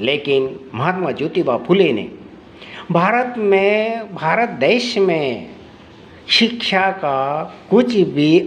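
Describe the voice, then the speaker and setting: With noticeable background noise, a man speaks at a high pitch with very wide pitch swings and long, frequent pauses. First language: Marathi (speaking Hindi). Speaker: speaker on social reform. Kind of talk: speech. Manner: halting, repetitive.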